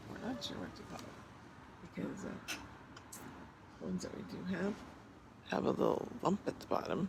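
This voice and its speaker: Against noticeable background noise, a man speaks at a moderate pace, his loudness swinging widely and his speech broken by long, frequent pauses. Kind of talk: casual vlog talk. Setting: outdoors in garden. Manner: halting, many fillers.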